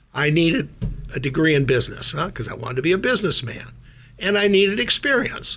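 A man speaks with an American accent at a fairly quick pace. He has an ordinary speaking voice. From North Dakota, US. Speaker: former CEO of a diagnostics company. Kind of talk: radio interview.

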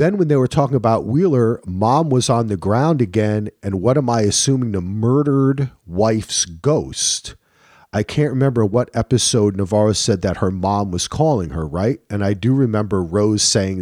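With a normal speaking voice and a fairly low pitch, a man talks at a moderate pace with lively intonation and hardly any pauses, in a very clean recording with a silent background. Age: 50s. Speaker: podcast host. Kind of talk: casual chat.

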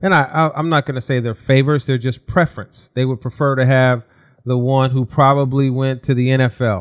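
A man with an American accent and an ordinary speaking voice talks at a fairly quick pace, medium in pitch, with fairly even intonation. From Southern California. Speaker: former college basketball player, basketball executive. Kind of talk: casual interview.

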